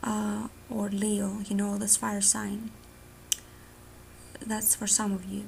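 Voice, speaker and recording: A woman's medium-pitched, monotone voice, very slow, with long, frequent pauses and noticeable background noise. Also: very even loudness. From Greece. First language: Greek. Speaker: tarot reader. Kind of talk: tarot reading monologue. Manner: casual, filler-heavy.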